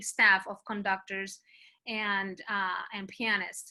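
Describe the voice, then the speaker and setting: This woman has a bright, sharp tone and a Spanish accent. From Colombia. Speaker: choir director. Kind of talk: conference presentation Q&A.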